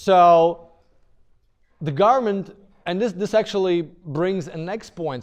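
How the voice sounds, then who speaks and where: An animated man with a high voice and ordinary pitch variation over a quiet background. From Eastern Europe. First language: Eastern European language. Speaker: university lecturer. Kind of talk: lecture. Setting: classroom with students.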